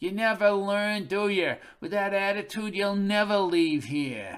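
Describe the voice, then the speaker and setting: A man's whiny, high-pitched, put-on character voice at a moderate pace in a very clean recording with a silent background. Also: ordinary pitch variation. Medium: read story. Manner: whining, complaining.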